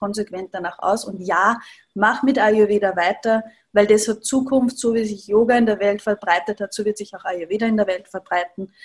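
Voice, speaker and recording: At a moderate pace, a woman uses a normal speaking voice with a medium pitch and fairly even intonation. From Upper Austria. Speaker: Ayurveda practitioner, yoga teacher. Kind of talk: interview, personal story.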